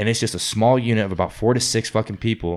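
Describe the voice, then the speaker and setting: A man's normal speaking voice, fairly low in pitch, with fairly even intonation, an American accent and a fairly quick pace. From New Orleans, US South. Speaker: amateur MMA fighter. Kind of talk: casual chat.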